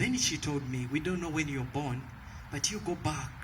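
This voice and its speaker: The room echo is audible as a man speaks with a Ugandan accent. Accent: Ugandan accent, noticeable. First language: a Ugandan language, not English. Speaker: evangelist, ministry leader. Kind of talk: testimony. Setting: rally stage with audience.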